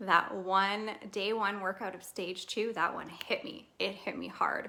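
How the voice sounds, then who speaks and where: Noticeable background noise sits under a woman's medium-pitched voice. Her intonation is fairly even, but her loudness swings widely. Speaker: fitness program test group member. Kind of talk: casual livestream testimony. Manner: fast.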